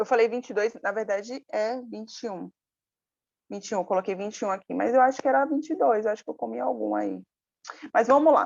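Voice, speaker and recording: At a very fast pace broken by long, frequent pauses, a woman with a fairly high pitch talks with lively intonation and big swings in loudness. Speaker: lawyer and public procurement lecturer. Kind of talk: live online lecture. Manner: halting, many fillers.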